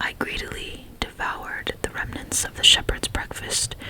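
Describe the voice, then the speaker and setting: Whispered words come at a fairly slow pace. Behind them is noticeable background noise. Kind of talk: ASMR book reading, bedtime story. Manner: whispered, soft.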